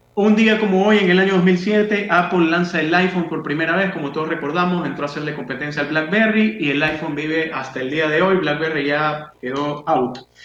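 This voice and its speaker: A man with a fairly high pitch speaks at a fairly quick pace, with hardly any pauses. Noticeable background noise and audible room echo fill the recording. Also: ordinary pitch variation. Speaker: radio co-host. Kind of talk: radio talk show.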